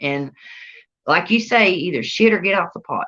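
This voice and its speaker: In a Southern US accent, a woman talks at a moderate pace with a bright, sharp tone and lively intonation. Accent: Southern US country. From North Carolina. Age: 30s. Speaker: entrepreneur. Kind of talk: interview. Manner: casual, colloquial.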